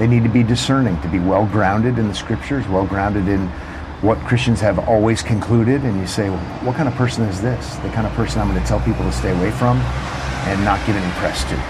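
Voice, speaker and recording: Over noticeable background noise, a man talks at a very fast pace in a fairly low voice that swings very widely in pitch. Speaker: radio host. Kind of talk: casual chat. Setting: outdoors.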